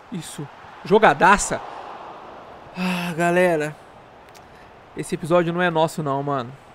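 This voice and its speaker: Over light background noise, a man with a high pitch and an animated tone speaks at a fairly slow pace with long, frequent pauses. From Brazil. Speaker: gaming youtuber; gaming streamer. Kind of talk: gameplay commentary. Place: home room.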